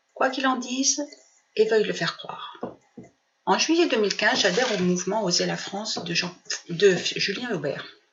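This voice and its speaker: Pausing long and often, a woman speaks at a moderate pace in a fairly high pitch with lively intonation. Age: 60s. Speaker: retired political activist. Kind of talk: prepared personal statement.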